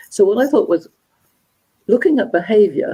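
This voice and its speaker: A woman with a London accent speaks in a dark, mellow tone with lively intonation. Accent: British English, London. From England, London. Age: 70s. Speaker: motivational speaker and gender dynamics expert. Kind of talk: live interview conversation.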